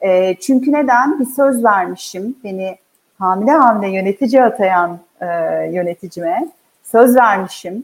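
A woman talks in a plain, everyday voice at a fairly high pitch. She keeps a fairly slow pace. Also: lively intonation. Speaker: HR executive. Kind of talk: interview.

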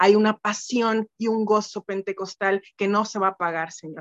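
Speaking at a fairly slow pace, a woman has a normal speaking voice at a medium pitch, heard in a dry, close sound with no echo. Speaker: church member. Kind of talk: prayer; testimony. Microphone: phone.

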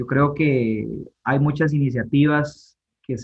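The speech comes at a fairly slow pace, somewhat breathy and with ordinary pitch variation. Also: man. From Costa Rica, Guápiles (Limón). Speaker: university math lecturer and election candidate. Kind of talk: interview.

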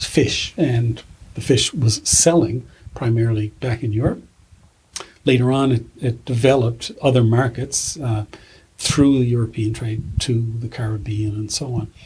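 A man talks at a fairly slow pace with fairly even intonation. His medium-pitched voice is somewhat breathy. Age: 60s. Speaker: retired folklore professor. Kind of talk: interview.

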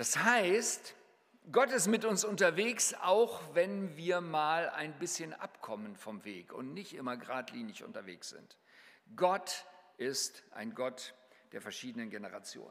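Very slowly, a man with a high voice moves through very wide pitch swings. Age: 60s. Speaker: mission leader and guest preacher. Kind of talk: sermon.

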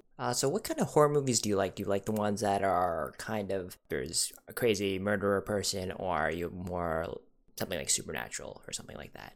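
Very fast delivery with lively intonation. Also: man, fairly low pitch for a man. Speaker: podcast host. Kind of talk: casual interview.

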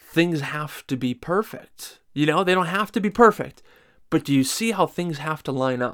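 Recorded very cleanly against a silent background, a man with a fairly high pitch speaks at a moderate pace with lively intonation. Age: 20s. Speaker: podcast host. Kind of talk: solo monologue. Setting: home recording room. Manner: halting.

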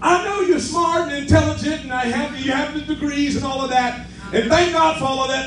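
A man talks at a fairly quick pace in an animated tone. Noticeable background noise runs underneath. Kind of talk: sermon. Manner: animated, call-and-response preaching with exclamatory 'yes' and 'say amen' prompts.

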